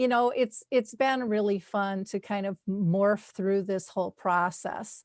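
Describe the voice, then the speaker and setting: A plain, everyday voice from a woman at medium pitch, fairly even in intonation and fairly slow in pace, with hardly any pauses, a dry, close sound with no echo, and a quiet background. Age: 60s. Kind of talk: casual interview chat.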